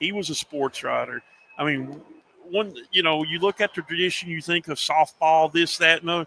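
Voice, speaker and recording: Dry and close with no echo, the recording has a man with an American accent speaking at a moderate pace in a high pitch with fairly even intonation. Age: 50s. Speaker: sports journalist and media network owner. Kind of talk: casual interview chat. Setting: livestream show.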